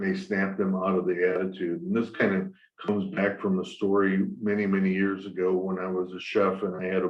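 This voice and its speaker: At a fairly quick pace, a man speaks in a very deep, low voice with monotone, flat intonation. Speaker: property management company executive. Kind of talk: webinar panel discussion. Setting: webinar. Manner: hesitant, many fillers.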